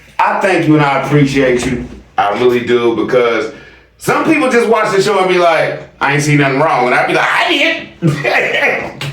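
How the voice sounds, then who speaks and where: Noticeable background noise and audible room echo surround the recording. A man speaks at a fairly high pitch and a moderate pace, with very even loudness. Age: 40s. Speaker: YouTube commentary host. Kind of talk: casual chat reacting to viewer comments. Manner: animated.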